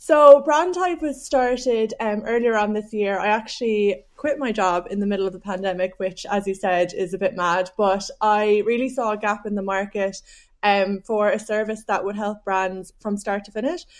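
A woman with a strong Cork accent talks at a medium pitch with hardly any pauses. The background is quiet. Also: ordinary pitch variation, moderate pace. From Ireland, Cork. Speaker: business founder. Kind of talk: interview.

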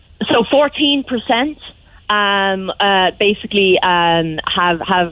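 The speaker has a Cork accent and ordinary pitch variation. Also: woman. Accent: Cork Irish. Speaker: local councillor. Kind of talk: radio interview.

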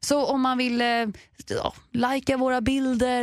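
Animated in tone, a woman speaks at a high pitch. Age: 20s. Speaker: podcast co-host. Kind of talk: casual chat.

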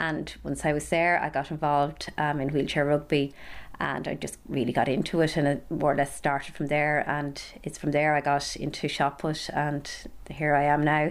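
At a moderate pace, a woman with a western Irish accent speaks in a very deep, low pitch with monotone, flat intonation. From County Galway, Ireland. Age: 30s. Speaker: Paralympic athlete. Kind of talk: interview.

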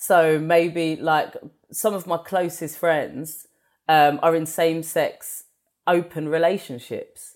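In a very clean recording with a silent background, a woman with a fairly low voice speaks at a very slow pace in a monotone, flat intonation. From England. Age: 40s. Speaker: stand-up comedian and actor. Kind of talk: casual interview.

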